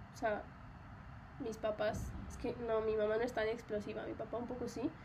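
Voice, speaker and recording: A woman talks in a fairly high voice. Audible echo fills the room around her. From Mexico. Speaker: podcast host. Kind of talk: solo personal monologue. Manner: casual, many fillers.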